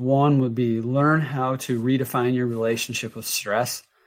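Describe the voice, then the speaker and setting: Over a very clean recording with a silent background, a plain, everyday voice moves at a moderate pace with fairly even intonation. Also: man. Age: 50s. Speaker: health coach and entrepreneur. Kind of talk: interview.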